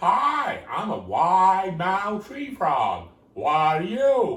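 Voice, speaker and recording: In a put-on character voice, a man speaks at a high pitch and a very slow pace. An echo can be heard. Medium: solo performance.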